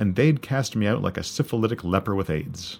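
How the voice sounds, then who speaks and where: A soft-spoken man with a Canadian accent talks at a fairly quick pace with lively intonation. The recording is very clean, over a silent background. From rural Canada. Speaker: podcast host, musician and high school teacher. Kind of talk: personal narration about song background.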